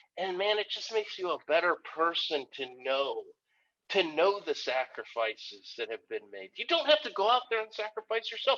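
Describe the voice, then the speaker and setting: Raised, projected male voice, animated and bright with a sharp tone, in a dry, close sound with no echo. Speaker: Army veteran and filmmaker. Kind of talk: podcast interview. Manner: fast.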